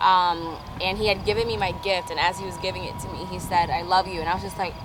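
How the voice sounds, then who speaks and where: With an American accent, a woman talks at a very fast pace amid noticeable background noise and audible room echo. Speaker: vlogger. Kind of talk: casual chat. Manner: loud.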